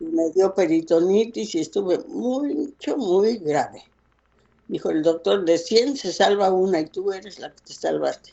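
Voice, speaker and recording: A woman's fairly slow speech with very wide swings in pitch. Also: medium pitch for a woman. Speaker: grandmother. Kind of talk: interview answer.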